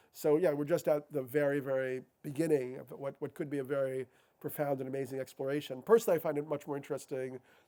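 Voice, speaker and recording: An American man speaks at a very fast pace, his pitch fairly high. His tone is dark and mellow, on a very clean recording with a silent background. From New York City. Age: 50s. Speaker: author and speaker on psychedelics. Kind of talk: public talk. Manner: halting, with many repetitions and fillers.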